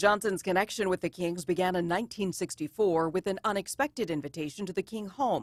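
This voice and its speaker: A woman talks in a plain, everyday voice at a medium pitch with ordinary pitch variation. She goes at a fairly quick pace with hardly any pauses, and the sound is dry and close with no echo. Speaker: TV news reporter. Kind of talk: TV news narration.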